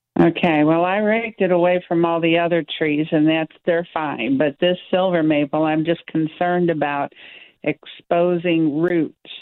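This is a normal speaking voice at a moderate pace, with fairly even intonation. Its loudness stays very even throughout. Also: woman, fairly low pitch for a woman. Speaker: caller. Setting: phone call.

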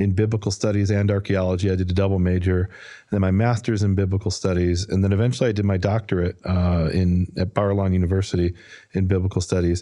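A man with an American accent, very deep and low, dark and mellow in tone, flat and monotone, at a very fast pace with hardly any pauses and very even loudness, over a quiet background. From US Midwest, Chicago north side. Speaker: biblical scholar. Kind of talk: interview. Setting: studio.

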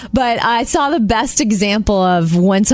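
Speaking at a moderate pace, a woman uses lively intonation in a plain, everyday voice. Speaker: radio host. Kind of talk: casual chat. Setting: studio.

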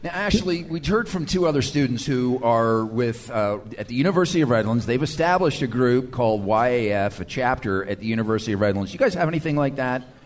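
Amid noticeable background noise, a man at a medium pitch speaks at a very fast pace with lively intonation and hardly any pauses. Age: 50s. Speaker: radio talk show host. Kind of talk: casual chat. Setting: live event with audience.

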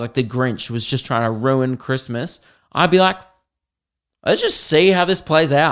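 In an animated tone, a man with an Australian accent speaks on a very clean recording with a silent background. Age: 20s. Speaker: podcaster and stand-up comedian. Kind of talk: casual chatty podcast monologue with comic riffs and stand-up style bits. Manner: animated, jokey, sweary and conversational.

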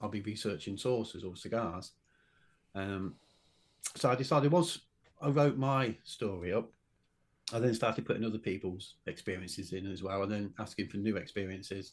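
This man's voice is fairly low, with ordinary pitch variation. He talks at a fairly quick pace but leaves long, frequent pauses. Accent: British. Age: 60s. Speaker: author and UFO witness. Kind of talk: interview.

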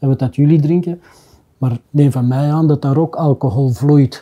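This man has a fairly high pitch and a dark, mellow tone, somewhat breathy, talking at a fairly quick pace with fairly even intonation. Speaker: business owner. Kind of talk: casual chat.

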